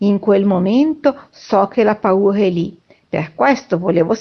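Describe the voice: Someone does plain reading aloud here.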